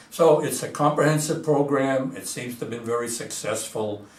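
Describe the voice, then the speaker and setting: Room echo is audible and background noise noticeable as a man talks at a moderate pace. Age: 80s+. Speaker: physician and recovery program founder. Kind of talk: interview monologue. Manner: hesitant, frequent fillers.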